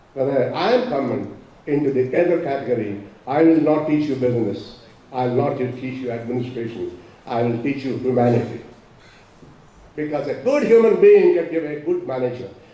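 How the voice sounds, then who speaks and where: A man talks at a fairly quick pace, his pitch fairly high and its variation ordinary. Room echo is audible. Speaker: professor. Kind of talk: speech. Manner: loud.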